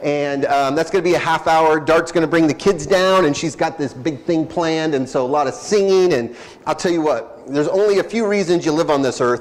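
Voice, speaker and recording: Over noticeable background noise, a man speaks fairly quickly with hardly any pauses, at a fairly high pitch, with ordinary pitch variation and very even loudness. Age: 40s. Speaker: pastor. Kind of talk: church announcements. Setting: church. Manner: conversational, hesitant fillers.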